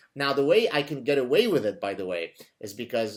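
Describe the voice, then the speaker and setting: A man talks fairly quickly in a very clean recording where the background is silent. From Lebanon (Beirut), moved to Canada. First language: Arabic. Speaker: podcast host. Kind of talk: casual interview chat.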